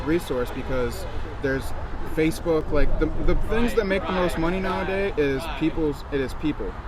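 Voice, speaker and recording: Through noticeable background noise and audible room echo comes a man's voice. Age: 20s. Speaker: student interviewer. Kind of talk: casual interview.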